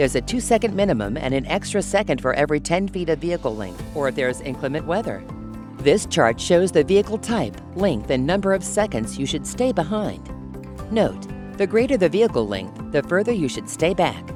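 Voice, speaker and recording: A woman at a fairly quick pace, hardly any pauses, music in the background. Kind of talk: corporate safety training narration.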